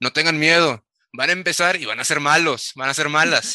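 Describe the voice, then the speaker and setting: A man's voice has a bright, sharp tone and a fairly high pitch. The sound is dry and close, with no echo. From Mexico, Tamaulipas. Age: 20s. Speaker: esports coach and analyst. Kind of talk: casual interview chat.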